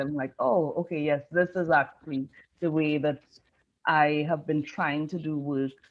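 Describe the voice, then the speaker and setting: A fairly slow delivery in a Caribbean accent. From Trinidad and Tobago. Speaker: design professor. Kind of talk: conference interview.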